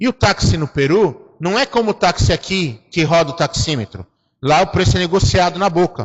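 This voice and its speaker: Here a man speaks with a high pitch. His intonation is lively and his tone animated. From Brazil. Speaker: preacher. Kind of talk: sermon. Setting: church.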